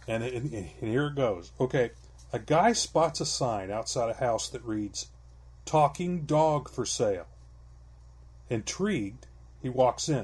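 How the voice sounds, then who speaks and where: In a very clean recording with a silent background, a somewhat breathy man with a medium pitch speaks at a fairly slow pace with long, frequent pauses and lively intonation. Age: 60s. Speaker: podcast co-host. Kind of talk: casual chat; joke telling.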